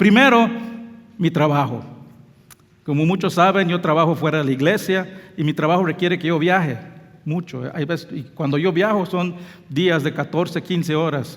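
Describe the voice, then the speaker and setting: Noticeable background noise behind a man with a Belizean accent, high-pitched, with ordinary pitch variation, a moderate pace and long, frequent pauses. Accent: non-native Spanish, Belizean. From Belize, near Mexico. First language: English (speaking Spanish). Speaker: pastor. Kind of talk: sermon. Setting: church.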